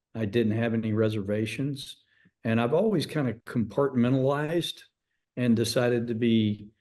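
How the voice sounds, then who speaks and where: A man with an American accent speaks at a moderate pace and medium pitch, with ordinary pitch variation. His tone is dark and mellow. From Texas, Amarillo. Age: 60s. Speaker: former baseball manager. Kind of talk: interview.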